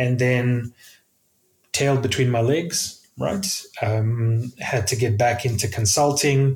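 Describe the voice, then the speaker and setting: The man's voice is somewhat breathy, pitched at a medium level with ordinary pitch variation. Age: 40s. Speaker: software developer. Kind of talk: casual chat.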